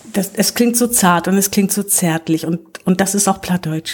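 A woman's somewhat breathy voice stays at a medium pitch. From northern Germany, Low German area. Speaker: volunteer representative, Low German poetry reader. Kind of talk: casual chat with poetry reading. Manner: halting.

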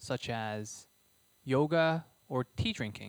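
A man talks in a plain, everyday voice at a medium pitch, his intonation lively. The sound is dry and close, with no echo. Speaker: podcast host. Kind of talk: interview, polished intro.

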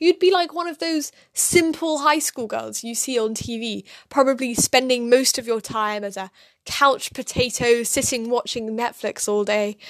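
Lively intonation in a British accent at a moderate pace, against a quiet background. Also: woman, high pitch for a woman. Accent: quite British. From London, England. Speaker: podcast co-host. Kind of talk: casual chat.

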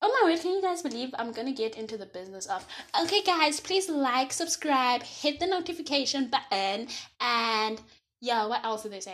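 A woman's high voice, animated in tone, with very wide pitch swings, big swings in loudness, a moderate pace and a quiet background. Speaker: podcast host. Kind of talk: casual monologue.

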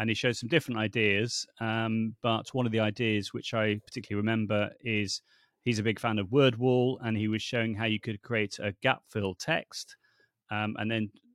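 Fairly quick speech in a dry, close sound with no echo, on a very clean recording with a silent background. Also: man. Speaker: language teaching technology consultant. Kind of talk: casual interview chat. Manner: animated, passionate.

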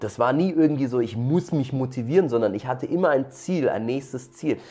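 A normal speaking voice, male, medium-pitched and fairly quick in pace. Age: 30s. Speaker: martial arts coach, former pro MMA fighter. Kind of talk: interview.

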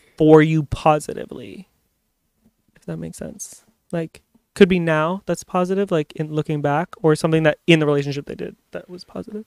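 The speech keeps a moderate pace and ordinary pitch variation, with a dry, close sound and no echo. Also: man. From Ontario, Canada (Amherstburg). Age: 30s. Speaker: podcast co-host. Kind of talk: casual chat. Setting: on a couch at home. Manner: animated.

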